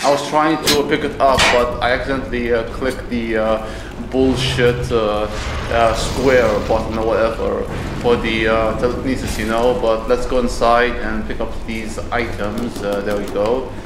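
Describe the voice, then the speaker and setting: A man at a fairly slow pace amid noticeable background noise. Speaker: gameplay commentator. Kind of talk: casual let's play commentary. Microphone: earbuds.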